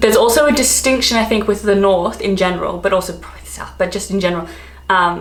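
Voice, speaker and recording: A woman with an Australian accent is heard with audible room echo and noticeable background noise. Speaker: travel and expat vlogger. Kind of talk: casual vlog talk. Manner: chatty, filler-heavy (um, like).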